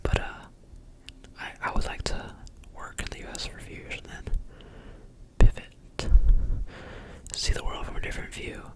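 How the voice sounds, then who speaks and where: A whisper at moderate speed, broken by long, frequent pauses, amid noticeable background noise. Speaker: college student with summer internship. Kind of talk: asmr roleplay phone call, casual conversation. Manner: whispered, soft-spoken.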